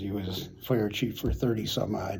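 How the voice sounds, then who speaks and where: Dark, mellow tone with vocal fry, in an American accent. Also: man. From US Midwest, Chicago suburbs, Illinois. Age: 70s. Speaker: retired city manager. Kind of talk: oral history interview. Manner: halting, many repeated words and fillers.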